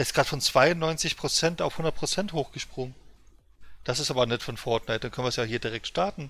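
A man speaks in an ordinary speaking voice. His pitch is fairly high, with ordinary pitch variation. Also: fairly quick pace. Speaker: streamer. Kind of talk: casual chat. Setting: live stream, gaming. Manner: chatty, rambling.

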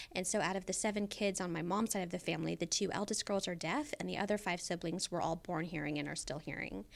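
Racing at a very fast pace, a woman speaks with ordinary pitch variation. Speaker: podcast guest. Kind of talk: interview answer. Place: studio. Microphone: studio mic.

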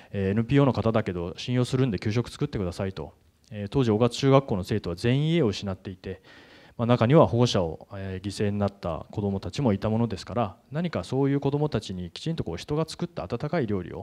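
A man's fairly low, dark, mellow voice with lively intonation at a fairly quick pace against a quiet background. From Tokyo, Japan. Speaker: nonprofit director; speaker. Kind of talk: conference talk. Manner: fast. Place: hall. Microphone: handheld.

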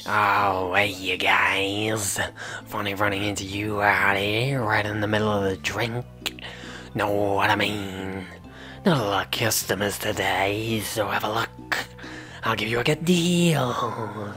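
Clear music plays in the background. A man speaks at a fairly slow pace and fairly low pitch. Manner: casual, sly, salesy.

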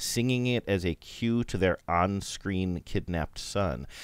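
With a normal speaking voice, a man talks at a fairly slow pace with lively intonation. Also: very clean recording, silent background. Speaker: podcast co-host and producer. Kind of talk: casual chat.

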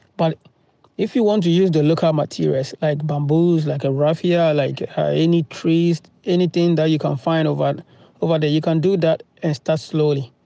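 A man's fairly high, dark, mellow voice with fairly even intonation and very even loudness, dry with no echo, over a quiet background. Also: moderate pace. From Ghana. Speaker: farm vlogger; farm owner vlogger. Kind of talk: tutorial. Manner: halting, many fillers. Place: farm machine. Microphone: phone near.

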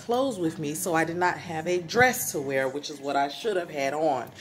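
The speech moves at a fairly quick pace. Light background noise sits behind it. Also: woman. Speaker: vlogger. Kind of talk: casual vlog chat. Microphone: phone near.

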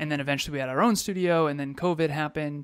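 Speaking at a very fast pace, a man keeps his intonation fairly even. The sound is dry with no echo. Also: quiet background. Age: 30s. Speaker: podcast co-host and coach. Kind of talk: casual chat. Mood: reflective, earnest. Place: office. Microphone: studio mic.

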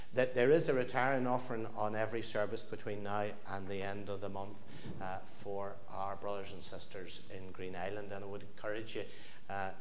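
Over light background noise, a man talks with fairly even intonation at a fairly low pitch. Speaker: parish minister. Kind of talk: church announcements. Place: church.

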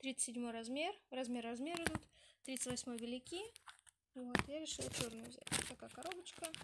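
This woman has a nasal, high-pitched voice with a slightly husky edge and ordinary pitch variation. She talks at a fairly quick pace.

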